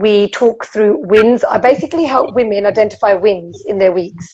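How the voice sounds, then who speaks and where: This woman's voice sits fairly high, with an animated tone and ordinary pitch variation. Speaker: food behaviour coach. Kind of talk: casual chat.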